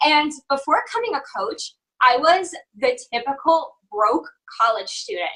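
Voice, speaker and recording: With a slight New Jersey accent, a woman uses a raised, projected voice that is high-pitched, bright and sharp, with very wide pitch swings. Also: fairly slow pace. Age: 20s. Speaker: health and fitness coach. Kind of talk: interview testimony.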